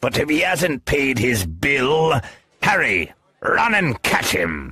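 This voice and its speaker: A man talks in a put-on character voice at a medium pitch. His pitch swings very widely as he speaks at a fairly slow pace. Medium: audio drama. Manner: genial, hearty.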